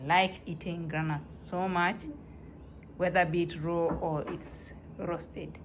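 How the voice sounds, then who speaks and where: A woman at a fairly low pitch, with a non-native accent and fairly even intonation, at a very slow pace with long, frequent pauses and audible room echo. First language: not English. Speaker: home cooking vlogger. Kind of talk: casual tutorial. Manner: halting.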